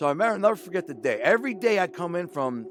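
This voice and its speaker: With an American accent, a man speaks in an animated tone with very wide pitch swings. Noticeable background noise sits behind him. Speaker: former mobster and author. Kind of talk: storytelling interview.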